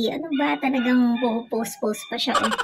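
A woman's voice with music playing in the background. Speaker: vlogger. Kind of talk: casual vlog chat. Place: street. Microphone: phone near.

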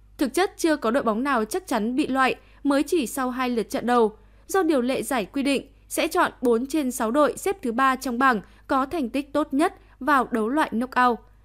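The pace is fairly quick and the pitch varies in an ordinary way. The recording is very clean, with a silent background. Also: woman, high pitch for a woman. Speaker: news reader. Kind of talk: news reading.

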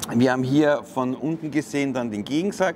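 At a moderate pace, a man speaks with ordinary pitch variation. Light background noise can be heard. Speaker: refrigeration technician instructor. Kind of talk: tutorial. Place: factory. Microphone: lapel.

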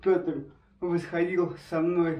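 A man speaks in a high voice, with audible echo from the room around him. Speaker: travel video host. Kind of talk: casual interview talk. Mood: relaxed, friendly. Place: home room. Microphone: camera far.

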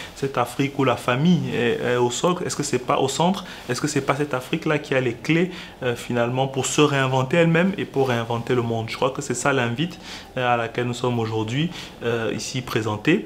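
A man at a fairly quick pace with ordinary pitch variation, over light background noise. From Cameroon. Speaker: lawyer and business association spokesperson; lawyer, civil society spokesman. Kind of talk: interview. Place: studio.

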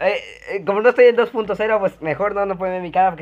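Animated in tone, a man speaks at a high pitch with a Mexican accent. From Mexico (Yucatán). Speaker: gaming youtuber. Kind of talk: casual reaction commentary. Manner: halting, many fillers.

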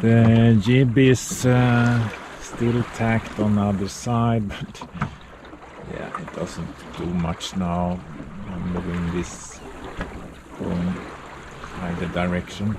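A man talks at a very slow pace with ordinary pitch variation and long, frequent pauses. The sound is dry with no echo, and background noise is loud. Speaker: solo sailor vlogger. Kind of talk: casual vlog commentary. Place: boat. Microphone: phone near.

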